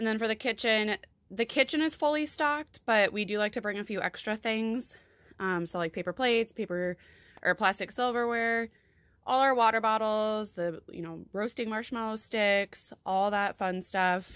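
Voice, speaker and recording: The background is quiet while a woman talks. Her pace is moderate, with ordinary pitch variation. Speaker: lifestyle vlogger. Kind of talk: casual tutorial chat. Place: home room. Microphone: phone near.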